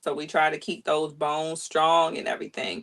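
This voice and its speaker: At a moderate pace, a woman with a plain, everyday voice speaks at a fairly low pitch. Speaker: podcast host and family caregiver. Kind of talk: casual podcast interview.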